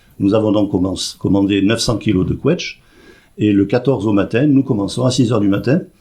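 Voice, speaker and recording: A man with a slight southwestern French accent speaks at a fairly quick pace in a fairly low pitch, his dark, mellow tone somewhat breathy, with ordinary pitch variation and very even loudness. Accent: slight singing southwestern French. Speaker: president of a seniors' club. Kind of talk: radio interview.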